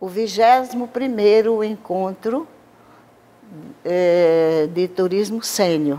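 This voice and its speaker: Her pitch sits in the middle range as this woman talks with lively intonation. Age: 70s. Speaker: former state legislator. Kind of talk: interview.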